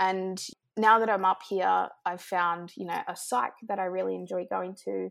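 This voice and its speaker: A woman with an Australian accent at a moderate pace, on a very clean recording with a silent background. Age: 20s. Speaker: nonprofit program manager. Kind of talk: interview.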